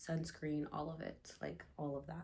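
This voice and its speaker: The speaker is a woman. Room echo can be heard. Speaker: lifestyle vlogger. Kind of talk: casual chat. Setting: at home, bathroom. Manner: calm. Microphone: echo in the room.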